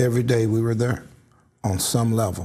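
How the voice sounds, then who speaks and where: A man talks at a fairly quick pace in a medium pitch. His tone is dark and mellow, and somewhat breathy. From St. Louis, Missouri. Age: 60s. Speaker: community activist. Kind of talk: interview.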